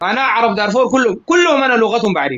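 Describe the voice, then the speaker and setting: A man speaks with lively intonation at a high pitch. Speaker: live stream guest. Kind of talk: casual debate in live stream. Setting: live stream group audio. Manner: halting, repetitive.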